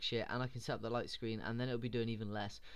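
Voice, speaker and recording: His pitch sits in the medium range. The man speaks at a very fast pace. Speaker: gaming commentator. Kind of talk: video game battle commentary. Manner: rambling, casual.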